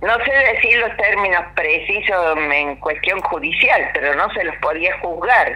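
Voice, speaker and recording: Noticeable background noise and audible room echo surround a woman who talks at a fairly slow pace. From Argentina. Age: 60s. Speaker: former political prisoner and university dean. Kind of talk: radio interview testimony.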